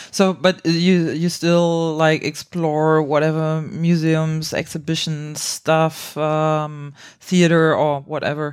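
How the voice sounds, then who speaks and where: A woman with a very deep, low voice speaks very slowly in a monotone, flat delivery with hardly any pauses. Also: very clean recording, silent background. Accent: German. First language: German. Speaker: improv podcast host. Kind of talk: casual interview.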